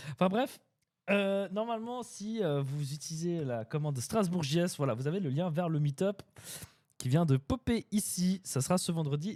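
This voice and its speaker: Very wide pitch swings in a dark, mellow tone, on a very clean recording with a silent background. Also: man. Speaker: web developer streamer. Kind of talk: live stream chat. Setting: live stream. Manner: hesitant, many fillers.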